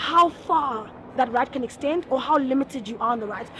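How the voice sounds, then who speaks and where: A woman with a high pitch and ordinary pitch variation talks as noticeable background noise plays. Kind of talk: street interview.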